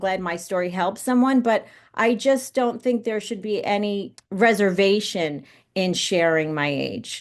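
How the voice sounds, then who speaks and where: With an American accent and a plain, everyday voice, a woman speaks at a moderate pace and a fairly high pitch against a quiet background. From New York, Westchester County. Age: 50s. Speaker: actress and producer. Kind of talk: podcast interview.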